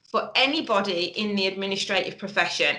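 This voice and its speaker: A woman with a Birmingham accent, audible room echo around her voice. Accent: Brummie. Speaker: webinar presenter, business founder. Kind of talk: webinar presentation. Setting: online webinar.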